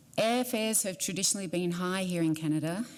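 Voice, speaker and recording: In an Australian accent, a woman talks at a fairly quick pace with a fairly low pitch and ordinary pitch variation. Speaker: airline executive. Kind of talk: prepared statement.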